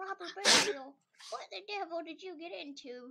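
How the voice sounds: At a moderate pace, a put-on character voice, female-sounding, speaks at an extremely high pitch.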